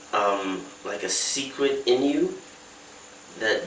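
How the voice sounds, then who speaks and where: Noticeable background noise runs under a man's voice. The room adds audible echo. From West Africa, mainly Lagos, Nigeria. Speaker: musician. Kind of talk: interview. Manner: halting, many fillers.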